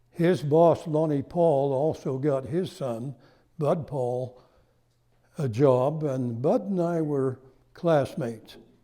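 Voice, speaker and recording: In a very clean recording with a silent background, a man speaks with an American accent. His pace is very slow and his tone dark and mellow. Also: fairly high pitch for a man, ordinary pitch variation. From Cache Valley, Utah. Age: 90s. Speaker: local historian. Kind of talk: lecture. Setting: stage with audience.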